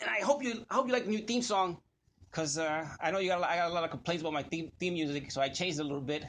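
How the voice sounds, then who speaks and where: A man talks at a very fast pace. His pitch sits high. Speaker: podcast host. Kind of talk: solo podcast monologue.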